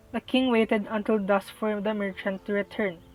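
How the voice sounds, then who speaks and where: Over music in the background, a woman speaks at a moderate pace with a fairly high pitch. The sound is dry and close, with no echo. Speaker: student. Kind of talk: read story. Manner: some words mispronounced.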